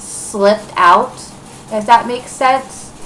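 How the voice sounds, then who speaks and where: A woman's fairly high voice with ordinary pitch variation, over noticeable background noise. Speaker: crafting podcaster. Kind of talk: casual chat. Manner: rambling, many fillers.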